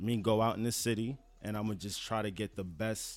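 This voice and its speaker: In a normal speaking voice, a man with fairly low pitch talks at a moderate pace with fairly even intonation, on a very clean recording with a silent background. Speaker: cinematographer and photographer. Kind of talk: casual podcast conversation. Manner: casual, slangy.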